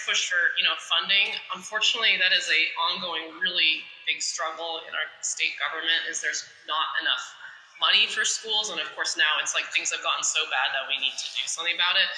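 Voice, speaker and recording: A woman speaking at a fairly quick pace amid noticeable background noise and audible room echo. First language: Japanese. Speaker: state legislator. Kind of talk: interview with school students. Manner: casual, with many fillers.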